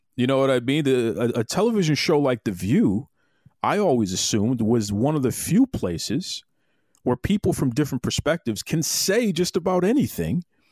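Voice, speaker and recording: The man speaks with a Boston accent at a moderate pace and a fairly high pitch, his pitch swinging very widely while his loudness stays very even. The recording is very clean, with a silent background. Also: dry, close sound with no echo. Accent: Boston-tinged American English. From US Northeast, Boston. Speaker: podcast host. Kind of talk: interview conversation.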